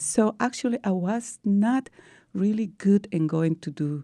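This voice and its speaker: A woman with a Peruvian accent speaks in a dark, mellow tone, recorded dry and close with no echo. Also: quiet background. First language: Spanish. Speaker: breast cancer survivor, teacher. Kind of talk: interview.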